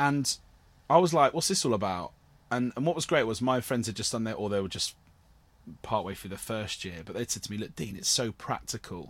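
Speaking in a Cornish accent, a man moves at a fairly quick pace with medium pitch and lively intonation. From Cornwall. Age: 30s. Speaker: actor and theatre producer. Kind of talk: casual interview chat.

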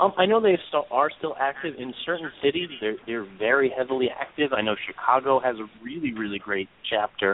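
In a New York accent, a man at a medium pitch talks at a fairly quick pace with lively intonation and hardly any pauses. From New York (Brooklyn). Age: 30s. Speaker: real life superhero. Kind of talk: casual chat.

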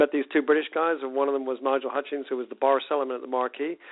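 A man talks at a very fast pace. His medium pitch shows little pitch movement.

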